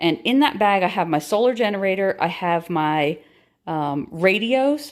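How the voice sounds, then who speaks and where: On a very clean recording with a silent background, a woman speaks at a fairly slow pace with lively intonation. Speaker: prepping YouTuber. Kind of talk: tutorial. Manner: hesitant, many fillers.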